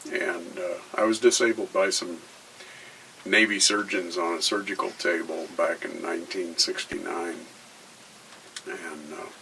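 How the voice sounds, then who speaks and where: A man speaking at a fairly slow pace, with long, frequent pauses and noticeable background noise. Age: 60s. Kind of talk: personal testimony. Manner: hesitant, many filler words.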